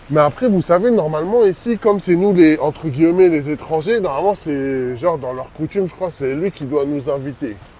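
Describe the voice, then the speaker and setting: This man has a fairly high pitch and lively intonation, speaking with hardly any pauses. There is noticeable background noise. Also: moderate pace. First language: not French (speaking French). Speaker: travel vlogger. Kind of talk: casual vlog chat.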